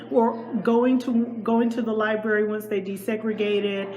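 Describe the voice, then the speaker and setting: Over noticeable background noise, a woman speaks at a moderate pace with a fairly high pitch. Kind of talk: interview questions.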